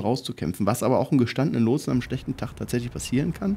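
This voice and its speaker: Very fast male speech, medium in pitch and dark and mellow in tone, with ordinary pitch variation and a very clean recording over a silent background. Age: 40s. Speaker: air traffic controller. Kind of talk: podcast interview answer. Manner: casual, hesitant.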